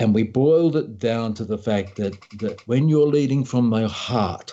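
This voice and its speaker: Speaking at a moderate pace with an Australian accent, the man has a medium pitch and ordinary pitch variation. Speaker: leadership coach and author. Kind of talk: interview.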